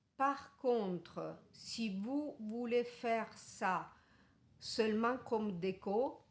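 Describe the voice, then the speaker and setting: With an Italian accent, a woman speaks at a very slow pace, her intonation fairly even. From Italy. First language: Italian (speaking French). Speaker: crochet tutorial maker. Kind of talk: tutorial. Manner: halting.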